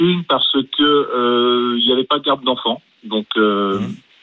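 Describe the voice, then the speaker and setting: This man has an ordinary speaking voice. His pitch is medium, with ordinary variation. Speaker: school head. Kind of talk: radio call-in. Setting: phone call. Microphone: poor phone sound.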